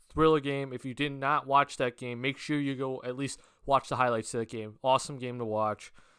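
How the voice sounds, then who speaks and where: On a very clean recording with a silent background, a man talks at a fairly quick pace and medium pitch, with a bright, sharp tone and fairly even intonation. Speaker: basketball commentator youtuber. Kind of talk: solo sports analysis podcast. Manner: frequent fillers, um and uh.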